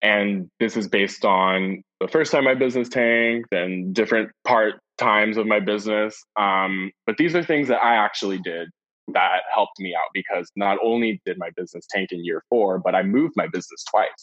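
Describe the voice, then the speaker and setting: Speaking in an American accent, a man has a fairly low pitch with ordinary pitch variation. His pace is moderate. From San Francisco, US. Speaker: pet sitting business owner. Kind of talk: interview.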